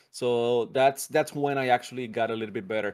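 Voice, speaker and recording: The speaker uses fairly even intonation in a Spanish accent, on a very clean recording with a silent background. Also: man. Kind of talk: casual interview chat. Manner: laughs often, casual.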